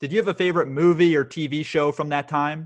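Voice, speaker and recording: A man with an American accent has an ordinary speaking voice at a fairly high pitch. He talks at a fairly quick pace with fairly even intonation. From Florida, US. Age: 20s. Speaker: podcast host. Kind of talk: casual interview; scripted intro narration.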